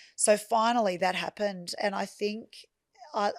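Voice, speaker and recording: Dry and close with no echo, a woman's medium-pitched voice moves at a moderate pace with ordinary pitch variation. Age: 50s. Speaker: property business founder. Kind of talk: interview conversation. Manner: halting.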